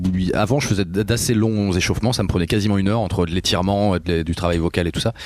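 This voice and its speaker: Amid noticeable background noise, a man talks at a very fast pace and fairly low pitch, with fairly even intonation and very even loudness. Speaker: rock singer. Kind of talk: interview. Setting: backstage after a concert. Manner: casual, hesitant.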